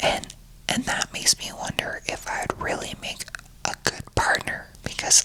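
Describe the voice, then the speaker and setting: A whisper at a medium tempo, noticeable background noise underneath. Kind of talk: whispered rambling talk to camera, casual personal monologue. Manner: whispered, soft, rambling.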